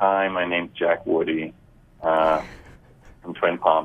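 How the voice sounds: In a put-on character voice, a man speaks nasally at a fairly slow pace, his pitch very deep and low and his intonation flat and monotone.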